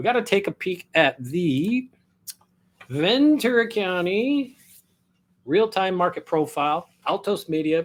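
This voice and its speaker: Speaking with an American accent, a man lets his pitch swing very widely. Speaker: real estate agent. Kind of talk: market update vlog. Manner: casual.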